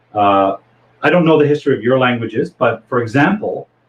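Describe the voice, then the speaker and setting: Somewhat breathy male voice with a Canadian accent and lively intonation. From Toronto, Canada. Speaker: English teacher. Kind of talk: lecture.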